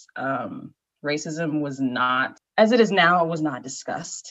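The speaker has a Midwestern American accent. The intonation is lively. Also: woman. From US Midwest, Naperville, Illinois. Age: 20s. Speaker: podcast guest. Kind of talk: casual chat.

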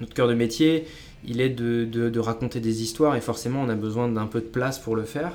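A normal speaking voice, this man talks at medium pitch and a fairly quick pace with fairly even intonation. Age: 20s. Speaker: professional writer. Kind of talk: interview.

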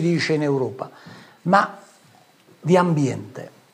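The man speaks at a very slow pace. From southern Italy, Ariano Irpino (Campania). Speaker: businessman and local politician. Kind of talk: political talk show interview.

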